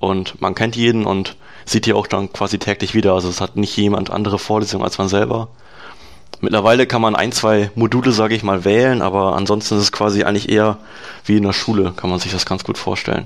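Speaking at a very fast pace, a man keeps a fairly low pitch and a monotone, flat intonation. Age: 20s. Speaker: software developer and dual-study student. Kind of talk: interview. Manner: hesitant, many fillers.

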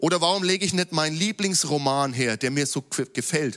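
A man's plain, everyday voice at a moderate pace, on a very clean recording with a silent background. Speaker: preacher. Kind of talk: sermon in a church service, teaching from scripture. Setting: church. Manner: formal, earnest, teaching tone; lively, with light jokes to the congregation.

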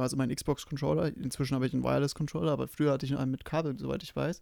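Dark and mellow with vocal fry, a man's voice races along at a very fast pace. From Bavaria, Germany. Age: 20s. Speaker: podcast co-host, frontend developer. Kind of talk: casual chat.

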